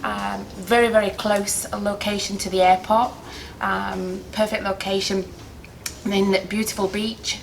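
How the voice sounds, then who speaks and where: A woman with an English accent talks at a fairly slow pace. Noticeable background noise is audible. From England. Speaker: wedding planner. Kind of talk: interview. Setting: on location at a hotel. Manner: hesitant, many filler words.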